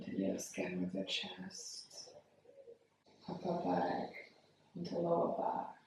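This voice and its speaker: A woman speaks in a calm tone at a very slow pace with long, frequent pauses, and the room echo is audible. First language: not English. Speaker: yoga teacher. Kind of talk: guided yoga class. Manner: slow, calm.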